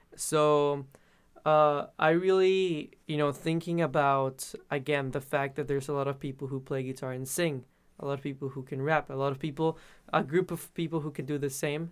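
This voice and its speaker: This man speaks in a fairly high pitch with a Spanish accent. His pace is moderate and his intonation fairly even. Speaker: musician. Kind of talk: interview.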